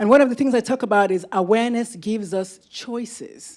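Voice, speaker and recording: An animated woman with a Nigerian accent, fairly high in pitch, at a moderate pace. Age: 50s. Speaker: physician and medical professor, keynote speaker. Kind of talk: conference keynote talk. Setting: stage with audience.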